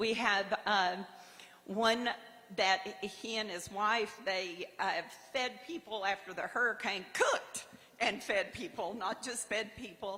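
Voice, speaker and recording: At a very slow pace, a woman with an American accent talks at a medium pitch with ordinary pitch variation, over noticeable background noise. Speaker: award honoree. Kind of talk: acceptance speech. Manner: halting.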